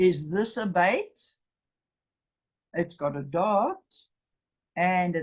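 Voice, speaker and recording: Her intonation is lively and her voice somewhat breathy. The woman's pitch sits in the medium range. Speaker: Bible teacher. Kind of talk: lecture.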